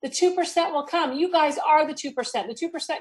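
A woman talks in an animated tone at a moderate pace over a quiet background. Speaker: network marketing presenter. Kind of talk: sales pitch. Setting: video call. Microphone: video call.

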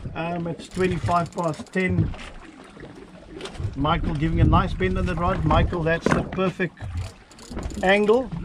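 A man at a fairly slow pace against loud background noise. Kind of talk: casual narration and coaching. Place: boat. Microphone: phone near.

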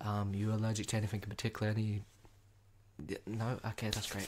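A man with a somewhat breathy voice speaks at a fairly quick pace against light background noise. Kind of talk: ASMR roleplay talk. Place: home room. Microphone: studio mic.

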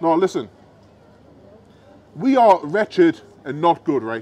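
This man's voice sits high in pitch. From United Kingdom. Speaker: street preacher. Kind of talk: street preaching to a crowd. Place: street.

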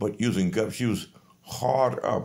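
Against a quiet backdrop, a man talks fairly slowly, his pitch varying in an ordinary way. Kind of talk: casual selfie monologue, complaint. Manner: drowsy, low voice while lying in bed. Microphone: phone near.

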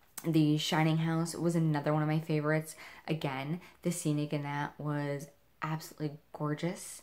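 A woman's very deep, low pitch at a moderate pace. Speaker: horror event vlogger. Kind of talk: casual vlog chat. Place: home room. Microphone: camera far.

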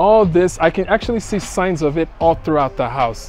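A man at a moderate pace with ordinary pitch variation, in a dry sound with no echo and faint music in the background. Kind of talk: casual vlog chat. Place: street.

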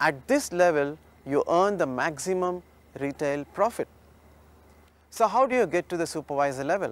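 At a moderate pace, the speaker uses lively intonation, and the sound is dry with no echo. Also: man, high pitch for a man. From India. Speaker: direct-selling distributor, former construction businessman; business trainer. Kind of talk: scripted presentation explaining a marketing plan. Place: studio.

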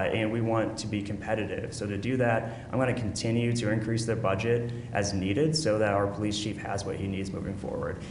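Over noticeable background noise, a man speaks very fast with fairly even intonation. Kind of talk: press conference answer. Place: hall. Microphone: podium.

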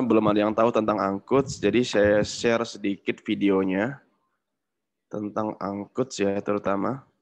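This man has a normal speaking voice, talking at a moderate pace in a fairly low pitch. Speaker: startup founder; webinar presenter. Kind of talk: webinar presentation. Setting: video call. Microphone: video call.

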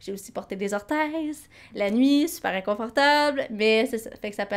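On a very clean recording with a silent background, a woman speaks at a fairly high pitch. She has a plain, everyday voice with ordinary pitch variation. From Quebec. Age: 20s. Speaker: podcast co-host, nonprofit coordinator. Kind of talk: casual chat.

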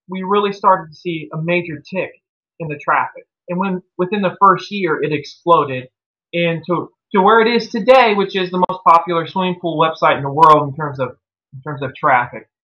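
Against a quiet background, a man with a high voice talks at a moderate pace, his loudness swinging widely while his pitch varies in an ordinary way. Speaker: interviewee. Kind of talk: interview answer. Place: home room. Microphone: video call.

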